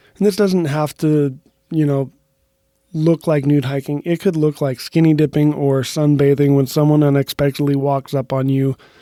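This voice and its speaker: In a dry, close sound with no echo, a man with a dark, mellow tone speaks at a fairly high pitch with fairly even intonation. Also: moderate pace. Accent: American. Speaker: podcast host. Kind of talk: podcast monologue.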